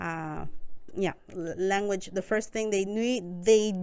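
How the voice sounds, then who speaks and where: On a very clean recording with a silent background, a woman speaks at a fairly slow pace in a Spanish accent. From Costa Rica. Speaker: newcomer support worker. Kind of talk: interview.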